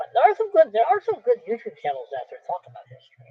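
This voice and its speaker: Speaking very fast, a man talks in an American accent. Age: 60s. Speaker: history vlogger. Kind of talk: casual monologue with book blurbs read aloud. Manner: halting.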